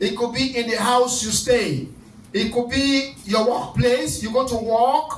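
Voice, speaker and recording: A loud, animated man's voice at an extremely high pitch, with audible room echo. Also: fairly slow pace. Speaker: pastor leading prayer night. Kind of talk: fervent deliverance prayer, commanding and repetitive, rebuking spirits. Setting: church service with online Zoom attendees. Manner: loud, urgent, rhythmic repetition; animated, exhorting the congregation. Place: church.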